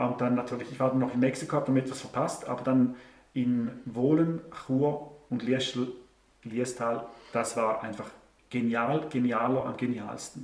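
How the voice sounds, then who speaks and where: In a room with audible echo, a man talks in a flat monotone, leaving long, frequent pauses. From Switzerland. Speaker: online show host; interview guest, show host. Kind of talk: interview answer. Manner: sarcastic, humorous. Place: home room.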